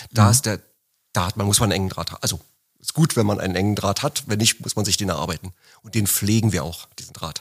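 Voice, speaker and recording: Speaking very fast with a slight Berlin accent, a man keeps a fairly low pitch and ordinary pitch variation. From Berlin, Germany. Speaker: office manager at a pump manufacturer. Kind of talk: interview. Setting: studio, sitting across from host.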